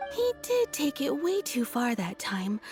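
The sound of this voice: A woman speaks fairly slowly in a cartoonish character voice, high-pitched and slightly mellow, with very wide pitch swings over faint background music.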